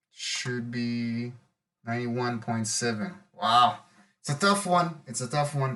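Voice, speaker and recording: At a fairly slow pace, a man speaks with an Israeli accent. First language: Hebrew. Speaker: web developer youtuber. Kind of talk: coding tutorial commentary. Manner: thinking aloud, mumbling to self.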